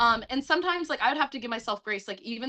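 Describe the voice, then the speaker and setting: A woman speaks with an American accent. Her pitch swings very widely. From US South, Atlanta. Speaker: musical theatre actress. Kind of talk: casual chat.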